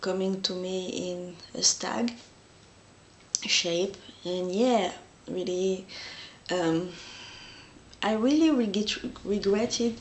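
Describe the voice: A woman speaks at a slow pace. Room echo is audible.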